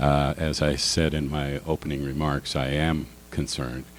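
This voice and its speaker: Noticeable background noise sits behind a man whose very deep, low voice stays monotone and flat at a fairly slow pace. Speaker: political candidate. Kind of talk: candidate forum answers. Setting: public forum with audience.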